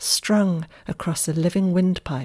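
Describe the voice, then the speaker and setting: Somewhat breathy, a woman speaks on a very clean recording with a silent background. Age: 50s. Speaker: Tai Chi teacher and podcaster. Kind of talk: reflective essay reading.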